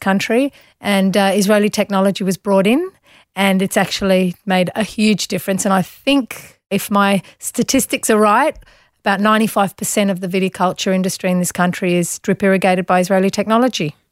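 A woman with an Australian accent at a medium pitch and a moderate pace, with fairly even intonation, a dry, close sound with no echo, and a very clean recording with a silent background. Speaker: business chief executive. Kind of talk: interview.

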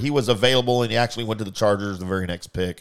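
This man has a fairly low pitch and a plain, everyday voice. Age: 50s. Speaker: podcast host and parent. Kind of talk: casual chat.

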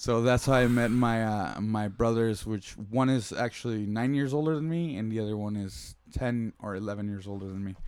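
With hardly any pauses, a man in an unremarkable speaking voice talks at a moderate pace, medium in pitch with ordinary pitch variation. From San Diego, California, Mexican-American family. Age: 30s. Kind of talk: casual chat. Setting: home recording in a kid's room.

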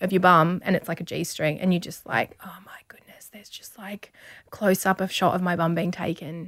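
Someone with an Australian accent speaks at a fairly quick pace. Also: woman. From country Victoria, Australia. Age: 30s. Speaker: model and TV presenter. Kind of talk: casual interview chat. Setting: studio.

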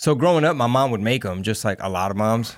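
Against a silent background in a very clean recording, a man with an American accent talks at a fairly quick pace in a normal speaking voice, his pitch fairly low. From Texas. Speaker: comedian and rapper. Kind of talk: casual chat. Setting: studio.

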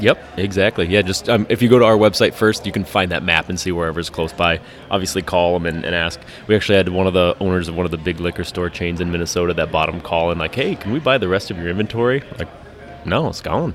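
Over noticeable background noise, a man speaks very fast. His voice is very deep and low, with ordinary pitch variation. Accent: American. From Colorado, Denver area. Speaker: brewery owner. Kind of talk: casual chat. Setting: brewery.

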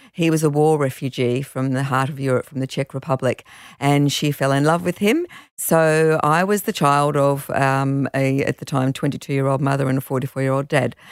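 Speaking at a moderate pace with fairly even intonation, this voice has an Australian accent and a dry, close sound with no echo, recorded very cleanly against a silent background. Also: woman, very deep, low pitch for a woman. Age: 60s. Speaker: charity founder and hiking business owner. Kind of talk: casual chat.

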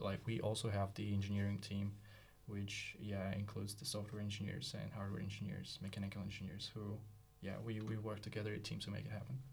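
A man with a fairly low pitch talks at a very fast pace in a flat, monotone way. Noticeable background noise and audible room echo fill the recording. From Russia. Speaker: startup co-founder and designer. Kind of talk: casual interview. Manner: halting.

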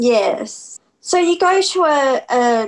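An Australian accent with ordinary pitch variation on a very clean recording with a silent background. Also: woman. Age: 40s. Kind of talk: interview.

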